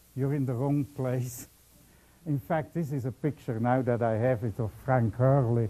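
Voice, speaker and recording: A man with a Belgian accent speaks in a dark, mellow tone at a fairly high pitch. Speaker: physics professor. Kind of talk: public lecture. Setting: lecture hall with audience.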